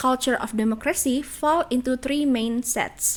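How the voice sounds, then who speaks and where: In an Indonesian accent, a woman with a high voice talks at a moderate pace with ordinary pitch variation. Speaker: graduate student, educational video maker. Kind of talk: lecture.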